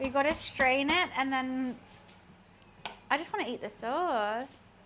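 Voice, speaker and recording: A high-pitched woman with noticeable background noise. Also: ordinary pitch variation, fairly slow pace. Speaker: streamer. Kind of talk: casual live-stream chat while cooking.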